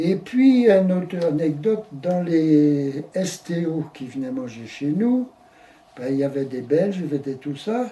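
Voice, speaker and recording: A man with a fairly high pitch speaks at a fairly slow pace over noticeable background noise. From Brittany, France. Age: 80s+. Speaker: elderly man recounting his life. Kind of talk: interview. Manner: halting.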